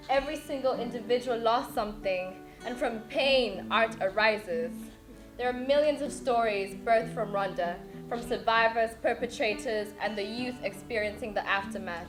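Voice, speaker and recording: Music plays in the background as a woman speaks at a moderate pace, her fairly high pitch showing ordinary variation. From Rwanda. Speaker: spoken word poet. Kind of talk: spoken word poetry performance.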